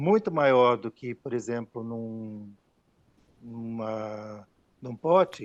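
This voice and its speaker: Very slowly, a man delivers his words with ordinary pitch variation. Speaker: glass technology specialist. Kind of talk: technical Q&A. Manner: hesitant, many fillers.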